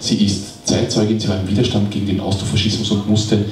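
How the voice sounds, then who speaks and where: A man with a fairly low pitch talks at a fairly quick pace, with audible room echo and light background noise. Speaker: event host introducing author. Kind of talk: event host introduction. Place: shop.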